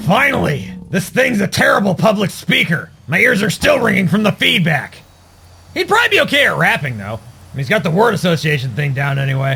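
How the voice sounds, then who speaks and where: A cartoonish character voice from a man, high-pitched for a man, at a fairly quick pace. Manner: sarcastic, grumbling.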